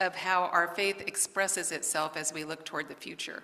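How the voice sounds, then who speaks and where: A woman speaks in an American accent at a moderate pace. Her pitch is fairly low. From California, US. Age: 70s. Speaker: guest speaker. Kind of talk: sermon.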